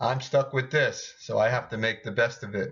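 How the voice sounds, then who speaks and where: This man speaks at a moderate pace with a somewhat breathy voice. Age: 60s. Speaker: doctor giving health talk. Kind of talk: video lecture with slides. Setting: at home.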